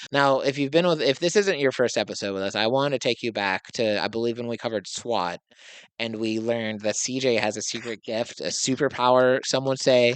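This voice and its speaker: Over a quiet background, a man speaks at a fairly quick pace with a medium pitch and ordinary pitch variation. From Tennessee. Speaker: podcast host. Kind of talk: casual chat.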